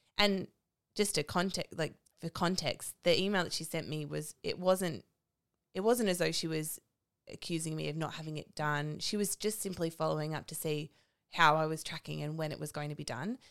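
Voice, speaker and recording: Very clean and silent in the background, the recording features a woman with a very deep, low pitch. She speaks at a moderate pace with ordinary pitch variation. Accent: Australian. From Melbourne, Australia. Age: 30s. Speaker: podcast co-host. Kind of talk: casual chat.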